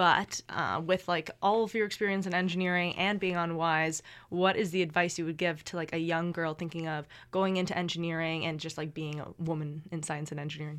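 A woman with a Canadian accent has a plain, everyday voice, a fairly low pitch and fairly even intonation. She speaks at a fairly quick pace on a very clean recording with a silent background. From eastern Canada. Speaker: student podcast host. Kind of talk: casual interview.

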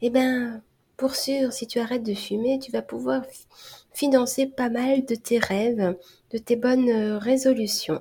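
At a fairly slow pace, a woman with a fairly high pitch speaks in a dark, mellow tone with fairly even intonation. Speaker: hypnotherapist and stop-smoking coach. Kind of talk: solo podcast monologue.

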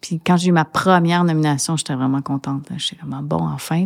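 A woman speaks in a very deep, low voice, recorded dry and close with no echo. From Montreal, Quebec. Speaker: singer-songwriter. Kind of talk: interview.

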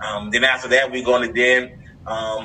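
A plain, everyday voice from a man with an American accent, medium-pitched and fairly even in intonation, at a moderate pace. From Miami, Florida. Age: 50s. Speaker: workforce development program leader. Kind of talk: interview.

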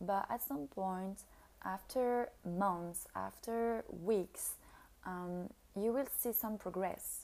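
A woman speaks with a French accent at a very slow pace. Her pitch is medium, with ordinary variation. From France. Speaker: podcast host. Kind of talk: solo monologue podcast. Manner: halting, with many fillers.

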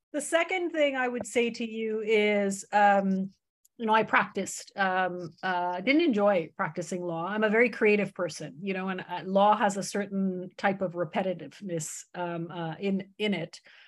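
The speaker keeps a moderate pace with hardly any pauses and ordinary pitch variation. The recording is very clean, with a silent background. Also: woman, medium pitch for a woman. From Canada. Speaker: startup founder. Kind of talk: interview. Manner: very awake.

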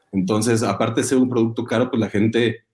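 A man speaks at a medium pitch. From Mexico, Guanajuato. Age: 20s. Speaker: agricultural product developer, industrial engineer. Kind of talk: interview. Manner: hesitant, many fillers.

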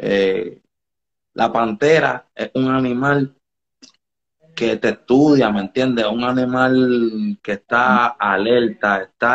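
This man talks very slowly. His voice sits at a medium pitch and varies in an ordinary way. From Dominican Republic, raised partly in Puerto Rico. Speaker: reggaeton artist. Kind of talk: casual interview on live stream. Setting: home studio under renovation.

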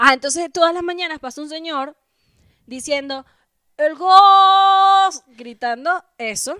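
Speaking at a very slow pace, a woman uses a raised, projected voice at an extremely high pitch, with a bright, sharp tone, lively intonation and big swings in loudness. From Venezuela. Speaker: comedian. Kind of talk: casual chat.

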